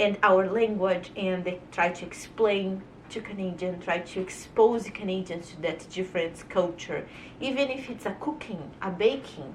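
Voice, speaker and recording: A woman with a Brazilian accent, big swings in loudness and ordinary pitch variation, amid audible room echo and noticeable background noise. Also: medium pitch for a woman, moderate pace. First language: Portuguese. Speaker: vlogger. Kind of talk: casual monologue to camera. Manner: animated.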